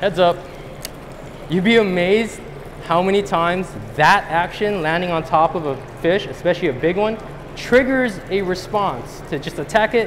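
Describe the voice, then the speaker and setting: Over noticeable background noise, a high-pitched man with an American accent speaks at a moderate pace, broken by long, frequent pauses. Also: ordinary pitch variation. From US West Coast. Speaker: professional angler giving a seminar; presenter. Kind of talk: seminar talk to a live audience. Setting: stage with audience at a fishing show. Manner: animated. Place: hall.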